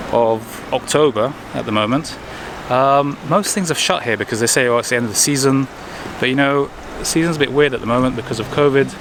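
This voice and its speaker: Fairly quick speech in a British accent over noticeable background noise. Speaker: travel vlogger. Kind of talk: casual vlog narration. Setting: outdoors in town, then inside a church. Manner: quiet, hushed.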